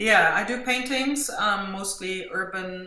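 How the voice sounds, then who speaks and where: A woman speaks fairly slowly in a German accent. Room echo is audible, and background noise is noticeable. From Germany. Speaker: mixed media artist and art teacher. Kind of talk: interview.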